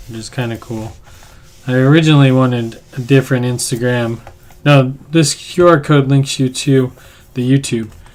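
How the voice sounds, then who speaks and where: The voice is quiet and the pace moderate. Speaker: artist livestreamer. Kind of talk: casual livestream chat. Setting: home studio.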